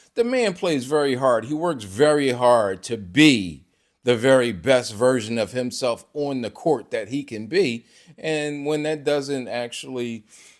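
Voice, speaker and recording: With ordinary pitch variation, a man of medium pitch speaks at a fairly slow pace on a very clean recording with a silent background. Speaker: sports commentator YouTuber. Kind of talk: casual vlog commentary. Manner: animated.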